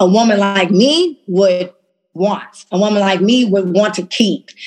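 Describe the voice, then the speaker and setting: A woman speaks at medium pitch in a normal speaking voice, her pitch varying in an ordinary way. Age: 30s. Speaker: fashion entrepreneur. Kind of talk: casual interview.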